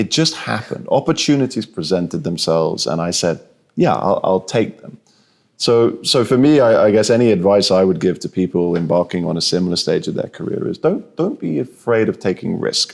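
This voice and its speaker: Speaking with a British accent, a man uses a fairly low pitch and very wide pitch swings. His pace is fairly quick. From southern England. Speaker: insurance executive. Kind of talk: interview. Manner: halting, many repeated words.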